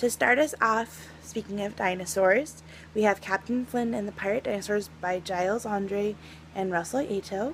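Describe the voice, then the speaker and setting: A somewhat breathy voice speaks at a fairly slow pace with ordinary pitch variation. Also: woman. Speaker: children's book reviewer. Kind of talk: casual video review. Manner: chatty with fillers.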